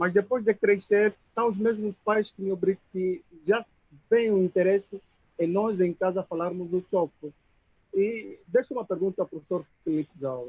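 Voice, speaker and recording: A man with an Angolan accent speaks in a high voice at a moderate pace. His pitch varies in an ordinary way. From Moxico, Angola. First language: Chokwe (speaking Portuguese). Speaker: audience member. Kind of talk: audience question at video conference.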